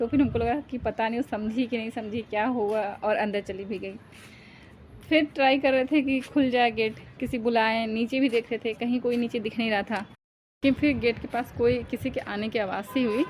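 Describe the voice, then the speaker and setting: At a moderate pace, a woman with a fairly high pitch speaks in a very clean recording with a silent background. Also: fairly even intonation. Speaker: vlogger. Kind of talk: casual vlog storytelling. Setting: rooftop, outdoors. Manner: halting, with fillers.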